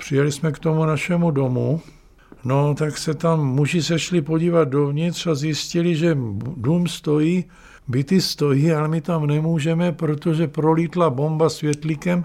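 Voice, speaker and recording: Fairly slow male speech, fairly high in pitch, with a dark, mellow tone and monotone, flat intonation. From Brno, Moravia, Czechia. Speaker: writer and retired drama school teacher. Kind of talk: oral history testimony.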